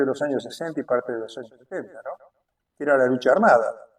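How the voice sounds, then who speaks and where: A man's fairly high voice at a very fast pace. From Argentina, Buenos Aires area (Berazategui). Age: 70s. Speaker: political activist. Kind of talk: interview testimony. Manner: hesitant, many fillers.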